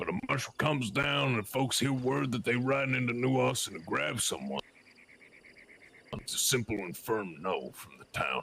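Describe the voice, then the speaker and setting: A man in a put-on character voice, medium pitch, at a moderate pace. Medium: game stream. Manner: folksy, deliberate.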